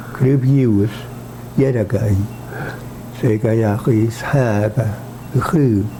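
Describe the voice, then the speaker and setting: A man at medium pitch speaks at a very slow pace with long, frequent pauses. His intonation is fairly even, and background noise is noticeable. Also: very even loudness. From Nova Scotia. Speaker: native speaker interviewee. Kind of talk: interview.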